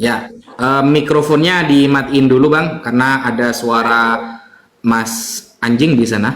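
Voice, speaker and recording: A man at a very slow pace and medium pitch, with ordinary pitch variation, very even loudness and audible room echo. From Java, Indonesia. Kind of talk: religious debate explanation.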